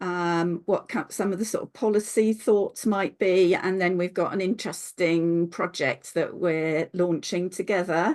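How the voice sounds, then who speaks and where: A woman speaks fairly slowly in a plain, everyday voice. Her pitch is medium, with ordinary pitch variation. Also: quiet background. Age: 60s. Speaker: later-life doctoral researcher. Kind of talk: online seminar talk.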